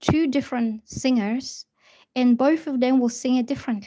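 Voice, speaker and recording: A woman speaking high, with ordinary pitch variation. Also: very clean recording, silent background. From Bulgaria. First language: Bulgarian. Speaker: tarot reader. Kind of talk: live stream tarot reading chat. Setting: live stream at a table.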